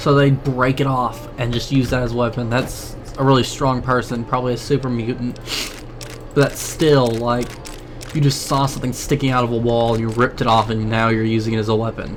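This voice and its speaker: Over noticeable background noise, a man with an American accent talks at a fairly quick pace in a medium pitch and a monotone, flat delivery. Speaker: gaming YouTuber. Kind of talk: let's play commentary. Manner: stuttering, stammering; halting.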